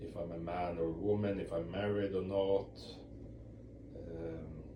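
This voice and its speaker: A man with a very deep, low pitch and a dark, mellow tone speaks fairly slowly, somewhat breathy and fairly even in intonation, against audible room echo. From Europe. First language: not English. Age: 40s. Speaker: ex-Jehovah's Witness video blogger. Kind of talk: casual talk to camera. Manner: halting, many repeats and fillers.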